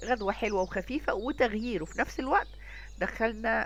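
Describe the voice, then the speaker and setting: A woman talks with an Egyptian accent. Her pace is fairly slow. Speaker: cooking channel host. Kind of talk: cooking tutorial. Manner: casual, conversational.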